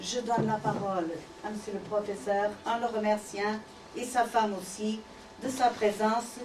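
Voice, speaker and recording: Over noticeable background noise, a woman with a Portuguese accent and a fairly high pitch speaks at a fairly slow pace with fairly even intonation. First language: Portuguese (speaking French). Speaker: ambassador. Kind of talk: formal introduction. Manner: halting.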